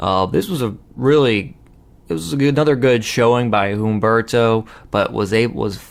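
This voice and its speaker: A man with an ordinary speaking voice, medium in pitch, at a moderate pace with ordinary pitch variation. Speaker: wrestling show host. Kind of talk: casual review talk to camera.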